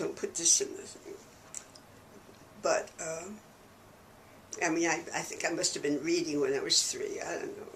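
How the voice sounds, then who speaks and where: Through noticeable background noise, a woman with an American accent speaks at a moderate pace. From New York City. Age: 90s. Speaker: church archivist and historian. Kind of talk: oral history interview. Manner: conversational.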